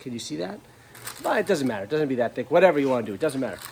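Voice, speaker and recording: A man is speaking. He mumbles. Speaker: auto body restorer. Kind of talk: casual tutorial. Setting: workshop. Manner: mumbling.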